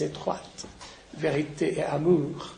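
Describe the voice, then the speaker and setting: There is audible room echo and noticeable background noise. Through it, a man speaks with a fairly high voice. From Lebanon. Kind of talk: lecture. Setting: conference with audience. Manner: halting.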